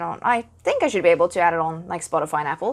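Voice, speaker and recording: A woman with a South African accent, very fast pace and very wide pitch swings, on a very clean recording with a silent background. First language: Afrikaans. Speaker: podcaster and gaming content creator. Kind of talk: solo podcast talk.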